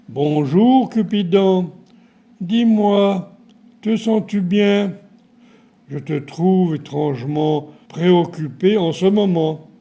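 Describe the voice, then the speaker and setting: Putting on a character voice, a man speaks very slowly at high pitch with ordinary pitch variation and long, frequent pauses. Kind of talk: bedtime story. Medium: read story. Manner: warm, kindly.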